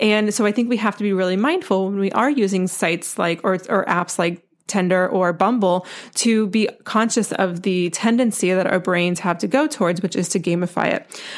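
A woman with an American accent speaks at a moderate pace and medium pitch, hardly pausing at all. Hers is a plain, everyday voice, with very even loudness and ordinary pitch variation. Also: very clean recording, silent background. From US South, North Carolina. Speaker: dating coach and podcast host. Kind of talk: solo podcast monologue.

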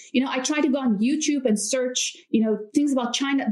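A woman's high-pitched voice with ordinary pitch variation, over music in the background. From South Africa. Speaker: YouTube creator. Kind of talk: casual interview chat. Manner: laughs often.

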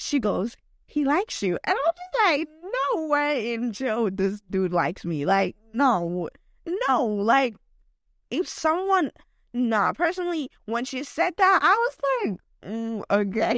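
Her high voice swings very widely in pitch as the woman talks at a very slow pace, in a dry, close sound with no echo. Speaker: podcast host. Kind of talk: casual solo monologue. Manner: rambling, filler-heavy with many likes; laughs often.

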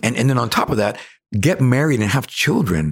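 Some breathiness runs through the voice. The pitch moves in a lively way. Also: man. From Cuba. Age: 60s. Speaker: actor. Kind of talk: interview.

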